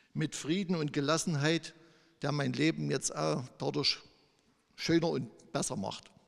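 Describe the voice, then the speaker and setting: A man with a fairly high voice speaks fairly slowly. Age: 50s. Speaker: church member. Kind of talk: testimony.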